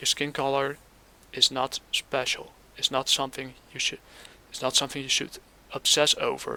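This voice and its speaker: With a non-native accent, a man talks at a moderate pace, leaving long, frequent pauses in a dry, close sound with no echo. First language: not English. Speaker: gaming commentator. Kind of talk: casual commentary reacting to clips. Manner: hesitant, halting.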